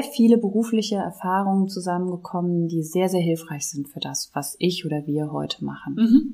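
Her dark, mellow voice sits at a medium pitch for a woman, with ordinary pitch variation. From Germany, Rhineland near Düsseldorf. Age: 50s. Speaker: foundation founder. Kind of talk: casual chat.

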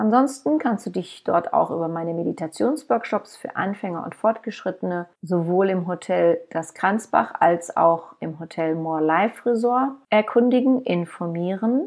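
In an ordinary speaking voice, a woman at a medium pitch speaks at a fairly slow pace with lively intonation and hardly any pauses. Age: 50s. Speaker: podcast host and author. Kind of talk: podcast monologue.

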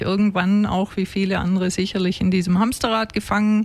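In monotone, flat intonation, a woman at medium pitch speaks at a moderate pace. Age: 40s. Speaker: former executive turned relaxation coach. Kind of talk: radio talk interview. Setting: studio.

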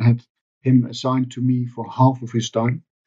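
With a Dutch accent, a man speaks at a medium pitch in a dark, mellow tone. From Netherlands. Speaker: sustainability finance expert. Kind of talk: interview.

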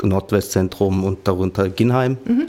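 This man speaks at a fairly slow pace with a fairly low pitch. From Offenbach, Hesse, Germany. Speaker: trainee dispatcher, former tram driver. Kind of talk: casual interview. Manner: halting.

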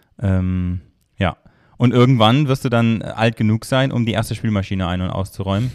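A man uses a normal speaking voice, fairly low in pitch, moderate in pace and with ordinary pitch variation. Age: 30s. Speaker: master baker. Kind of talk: casual interview. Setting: studio, in person.

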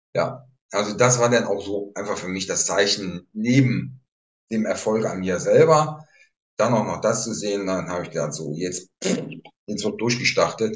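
A man's ordinary speaking voice, fairly low in pitch, with lively intonation at a fairly slow pace. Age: 60s. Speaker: retired police officer, therapist. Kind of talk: interview conversation.

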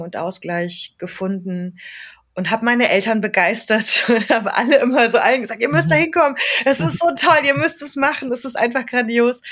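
A woman's fairly high voice makes very wide pitch swings. Her loudness swings widely too. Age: 40s. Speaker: yoga studio owner. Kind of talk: casual interview.

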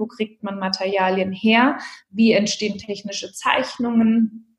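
Somewhat breathy, fairly high-pitched woman's voice with ordinary pitch variation. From Germany, Hesse (Marburg). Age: 30s. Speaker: handbag designer and entrepreneur. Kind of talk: interview.

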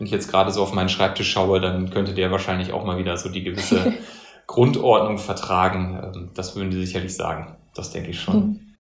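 With audible room echo, a man with a very deep, low pitch talks at a fairly quick pace in a monotone, flat intonation. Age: 30s. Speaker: senior manager at an advisory firm. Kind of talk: interview. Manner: hesitant, many fillers.

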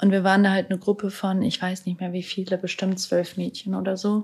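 A somewhat breathy woman's voice at medium pitch, monotone and flat in intonation. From Germany, Hannover. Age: 20s. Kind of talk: casual interview.

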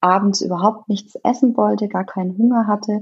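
A woman is talking. Her voice has a somewhat breathy quality. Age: 30s. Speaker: nutrition consultant and fitness coach. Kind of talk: podcast interview.

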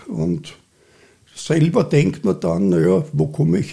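A man speaks in a dark, mellow tone with vocal fry. He moves at a fairly slow pace through very wide pitch swings. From Austria, Vienna. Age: 70s. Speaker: cultural association chairman. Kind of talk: interview. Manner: halting, many fillers.

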